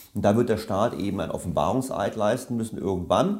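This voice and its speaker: Speech from a man comes at a fairly quick pace. The variation in his pitch is ordinary. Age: 50s. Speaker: economist and author. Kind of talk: interview. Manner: hesitant fillers.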